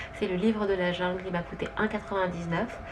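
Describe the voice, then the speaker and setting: Fairly quick and monotone, the flat-intoned speech comes through noticeable background noise. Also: woman. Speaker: vlogger, stay-at-home mother. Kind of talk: casual vlog, haul video. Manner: hesitant, many fillers.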